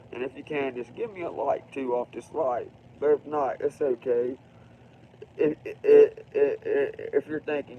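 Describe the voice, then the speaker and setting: Quietly, a man speaks with an Appalachian Ohio accent. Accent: Appalachian Ohio American. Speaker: livestreamer. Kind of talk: casual livestream monologue.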